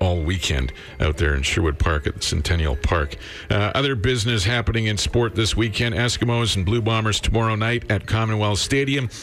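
Noticeable background noise sits behind a man speaking at a fairly quick pace with lively intonation. His pitch is fairly low and his loudness very even. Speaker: radio host. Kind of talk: morning radio show. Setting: studio.

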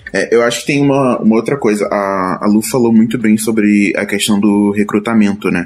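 An unremarkable speaking voice at a moderate pace, with hardly any pauses and fairly even intonation. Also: man, fairly low pitch for a man. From Rio de Janeiro, Brazil. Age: 20s. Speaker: UX designer. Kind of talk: casual panel discussion.

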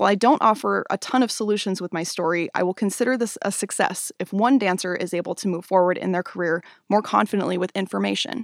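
Very fast and with hardly any pauses, a woman with an American accent and vocal fry speaks in a very clean recording with a silent background and a dry, close sound with no echo. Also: medium pitch for a woman, ordinary pitch variation. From US Pacific Northwest (Spokane, Washington). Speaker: podcast host and dancer. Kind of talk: scripted monologue. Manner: measured, read-aloud delivery.

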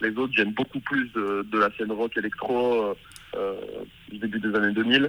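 A man talks at a moderate pace and medium pitch with long, frequent pauses. His tone is bright and sharp, his intonation monotone and flat. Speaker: musician. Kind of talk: interview. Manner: halting.

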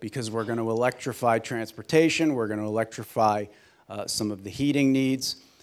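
A man speaks with an unremarkable speaking voice at a moderate pace. His pitch varies in an ordinary way on a very clean recording with a silent background. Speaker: energy company executive. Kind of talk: panel presentation. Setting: stage with audience.

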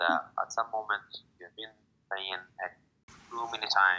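A man speaks at a moderate pace with a bright, sharp tone. His intonation is fairly even. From Morocco. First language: Arabic. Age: 20s. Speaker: student poet. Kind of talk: interview. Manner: halting.

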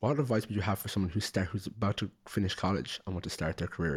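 The recording is very clean, with a silent background. A man with a very deep, low pitch speaks at a very fast pace, sounding somewhat breathy. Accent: Irish. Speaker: podcast host. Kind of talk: interview, casual chat.

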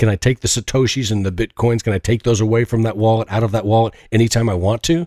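A man with a medium-pitched, dark, mellow voice talks at a very fast pace with fairly even intonation and hardly any pauses. The recording is very clean, with a silent background. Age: 50s. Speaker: podcast host. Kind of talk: interview podcast.

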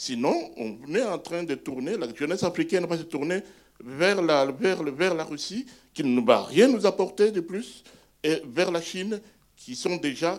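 Intonation rises and falls in a lively way. The delivery comes at a fairly slow pace. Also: man. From DR Congo (Bukavu). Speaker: retired pediatric neurologist, audience member. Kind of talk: audience remark in Q&A.

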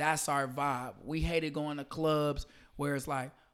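On a very clean recording with a silent background, a man speaks in a flat monotone at a fairly high pitch. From St. Louis, Missouri. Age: 30s. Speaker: party and event promoter. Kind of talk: casual podcast interview.

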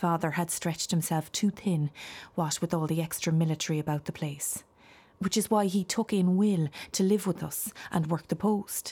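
An Irish accent at a moderate pace, somewhat breathy, with a dark, mellow tone, fairly even intonation and a very clean recording with a silent background. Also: woman, fairly low pitch for a woman. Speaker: voice actor playing a ghost. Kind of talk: dramatized audiobook monologue of a ghost recounting her family's tragedy. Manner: mournful, lamenting with heavy sighs; confiding, hushed and intimate.

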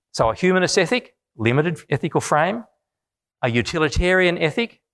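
A man with an Australian accent speaks at a high pitch, swinging very widely up and down. The recording is very clean with a silent background, dry and close with no echo. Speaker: business school professor. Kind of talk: public lecture.

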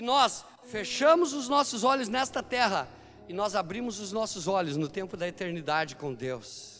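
Over music in the background, a man with a high pitch speaks at a moderate pace in an animated tone, his voice making very wide pitch swings. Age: 50s. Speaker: pastor. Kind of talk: sermon.

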